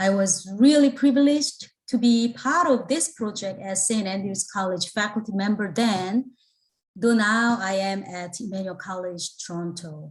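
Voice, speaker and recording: A woman speaks at a moderate pace, her voice somewhat breathy, with medium pitch and ordinary pitch variation. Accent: Korean. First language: Korean. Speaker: theology professor, book contributor. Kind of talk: panel talk. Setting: video call.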